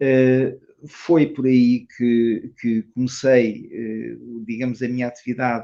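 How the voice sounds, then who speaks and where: Speaking at a very slow pace, a man with a medium pitch and a dark, mellow tone keeps a monotone, flat intonation. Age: 70s. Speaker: tai chi teacher. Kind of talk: interview. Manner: halting.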